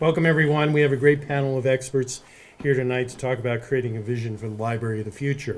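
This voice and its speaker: Speaking at a very fast pace, a man of medium pitch keeps his intonation fairly even while his loudness swings widely. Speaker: panel moderator. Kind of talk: panel moderation.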